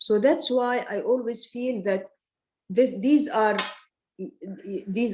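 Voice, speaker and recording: With lively intonation, a woman is speaking. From Palestine. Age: 70s. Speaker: artist. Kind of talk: talk about her art and heritage. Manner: halting, many fillers and repetitions.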